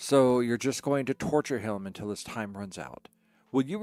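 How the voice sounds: Ordinary pitch variation in a natural reading voice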